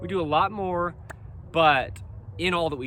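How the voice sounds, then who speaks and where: A man talks, and his voice carries audible room echo. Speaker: dog breeder and clothing company founder. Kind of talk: solo monologue. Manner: halting.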